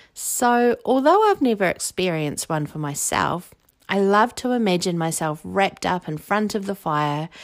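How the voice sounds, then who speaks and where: With a New Zealand accent, a woman talks in an animated tone with lively intonation at a fairly slow pace. The recording is very clean and the background silent. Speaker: quiz podcast host. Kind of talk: scripted quiz presentation.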